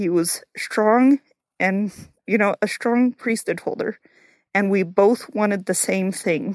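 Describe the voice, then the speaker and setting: A woman talks at a very slow pace with a medium pitch and ordinary pitch variation. The recording is very clean and silent in the background, with a dry, close sound and no echo. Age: 30s. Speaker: family member guest, cousin of host. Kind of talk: casual chat.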